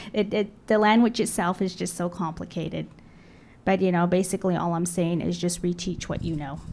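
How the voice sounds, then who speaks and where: In a very clean recording with a silent background, a woman speaks with a Navajo Nation accent at a moderate pace. Her medium-pitched voice has vocal fry and fairly even intonation. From Navajo Nation, US Southwest. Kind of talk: panel discussion.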